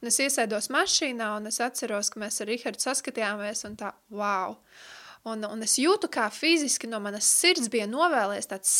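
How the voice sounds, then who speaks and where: Fairly high in pitch, a woman speaks in a bright, sharp tone with ordinary pitch variation, in a very clean recording with a silent background. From Latvia, Riga. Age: 30s. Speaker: Bible school teacher. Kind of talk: radio interview; lecture.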